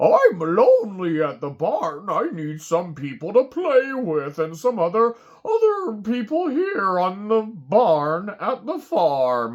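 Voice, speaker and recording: A cartoonish character voice, fairly high in pitch, moves along at a fairly slow pace. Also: hardly any pauses. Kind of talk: children's puppet story time. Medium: puppet.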